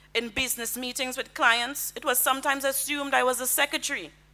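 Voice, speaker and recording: Bright and sharp in tone, a woman with a Caribbean accent speaks at a high pitch and a fairly quick pace. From Grenada. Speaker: lawyer and diplomat. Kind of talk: convention speech. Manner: formal.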